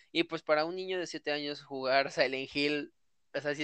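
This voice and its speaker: A man with a Mexican accent, fairly high in pitch, at a moderate pace with fairly even intonation. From Mexico. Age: 20s. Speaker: video game fan. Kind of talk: casual chat.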